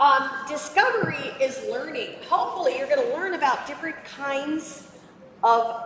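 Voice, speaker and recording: A woman speaks loudly at a high pitch, her tone animated and her intonation lively. Room echo is audible, and background noise is noticeable. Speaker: robotics program presenter. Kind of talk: presentation to kids and parents. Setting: room with live audience, no microphone. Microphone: speaking without microphone.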